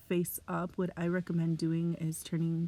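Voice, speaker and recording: A woman speaks in a fairly low voice. Music plays in the background. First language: Spanish. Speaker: education student. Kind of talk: tutorial.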